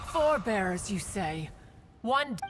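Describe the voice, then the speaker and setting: At a moderate pace, a female-sounding put-on character voice speaks at medium pitch. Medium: video game. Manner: curt, haughty.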